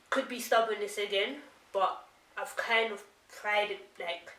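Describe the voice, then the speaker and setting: A woman speaks at a fairly slow pace and a fairly high pitch, with audible room echo and noticeable background noise. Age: young. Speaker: author. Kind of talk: casual interview chat.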